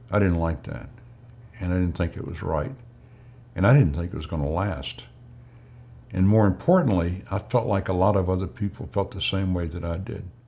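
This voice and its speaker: Very deep and low, a man's dark, mellow voice comes with a Mississippi accent, somewhat breathy and broken by long, frequent pauses. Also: ordinary pitch variation, fairly quick pace. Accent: Southern US (Mississippi). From US South, Mississippi Delta. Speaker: march participant. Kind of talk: interview recollection.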